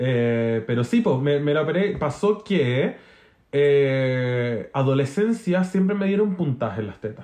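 A man with a Chilean accent speaks at a fairly high pitch. His pitch swings very widely. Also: fairly slow pace. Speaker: podcast co-host. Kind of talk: casual chat.

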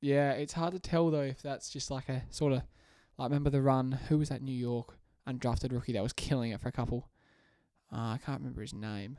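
In an Australian accent, a man with a medium pitch and a dark, mellow tone talks at a fairly quick pace with fairly even intonation, on a very clean recording with a silent background. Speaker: basketball podcast co-host. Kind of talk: casual chat.

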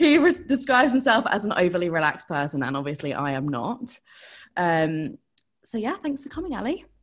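A woman with an English accent talks at a fairly quick pace in a medium pitch, with very wide pitch swings and vocal fry. The recording is very clean, with a silent background. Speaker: podcast host.

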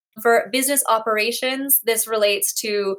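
A woman speaks in a fairly high pitch. Her intonation is flat and monotone. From Hong Kong. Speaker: ocean conservation nonprofit program director. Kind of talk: interview.

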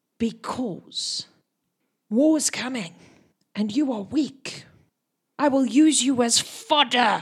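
A woman whispers in a put-on character voice. She goes very slowly, with long, frequent pauses. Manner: whispering, menacing.

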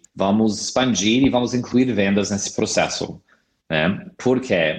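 A man with an American accent. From US, California. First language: English (speaking Portuguese). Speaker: product marketing director. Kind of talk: interview.

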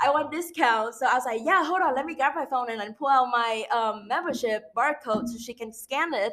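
With a bright, sharp tone and high pitch, a woman speaks at a fairly quick pace with hardly any pauses and ordinary pitch variation. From Vietnam. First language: Vietnamese. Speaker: international student. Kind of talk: casual chat.

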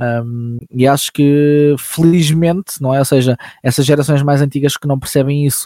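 Speaking with a European Portuguese accent, a man with a fairly high pitch and a dark, mellow tone keeps a moderate pace and fairly even intonation. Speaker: voice actor and YouTuber. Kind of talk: casual chat.

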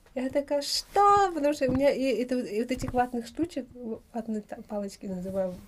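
Against noticeable background noise, a woman with a high voice swings her pitch very widely. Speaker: mother and vitamin business owner living abroad. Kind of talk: casual interview chat.

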